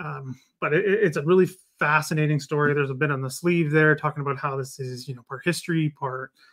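This man talks at a very fast pace with ordinary pitch variation. Behind him the background is quiet. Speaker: book reviewer. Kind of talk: casual live stream book review. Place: home room. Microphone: webcam.

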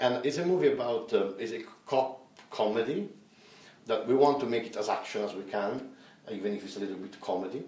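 A man at a fairly quick pace, with long, frequent pauses, big swings in loudness, ordinary pitch variation and audible room echo. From Italy. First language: Italian. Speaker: film director; interviewee. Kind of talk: interview; interview answer. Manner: halting. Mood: relaxed, cheerful.

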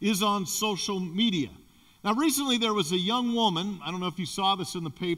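An unforced reading voice with ordinary ups and downs in pitch

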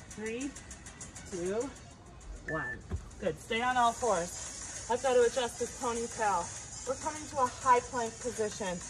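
Over clear music in the background, a woman with a high pitch and ordinary pitch variation speaks at a very slow pace. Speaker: fitness instructor. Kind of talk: workout instruction. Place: garden. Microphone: camera far.

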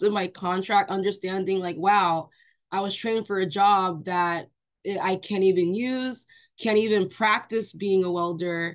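A woman speaks at a fairly slow pace, her pitch varying in an ordinary way, with a quiet background. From New York. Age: 20s. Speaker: Army veteran. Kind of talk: panel discussion. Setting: video call. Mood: frustrated, recounting army experience. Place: home room. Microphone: video call.

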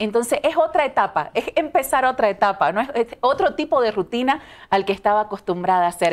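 A woman's fairly high voice at a fairly quick pace, with very wide pitch swings and very even loudness. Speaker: TV news presenter. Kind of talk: interview. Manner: talkative. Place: studio. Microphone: lapel.

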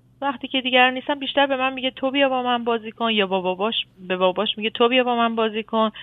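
Speaking at a very fast pace, a woman has a high pitch and fairly even intonation. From Iran. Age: 40s. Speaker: caller, mother. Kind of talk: advice call-in. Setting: phone call.

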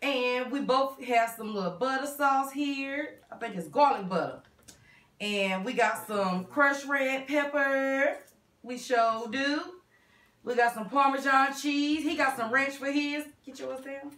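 A woman with a high voice speaks at a fairly slow pace, with ordinary pitch variation, big swings in loudness, and audible room echo. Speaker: mukbang host. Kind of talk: casual vlog chat. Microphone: camera far.

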